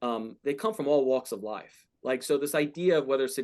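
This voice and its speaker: A man talks in an American accent, his pitch varying in an ordinary way. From New York (Queens, Brooklyn, Orange County). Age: 40s. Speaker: company founder. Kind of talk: classroom Q&A. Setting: classroom with audience. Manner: halting.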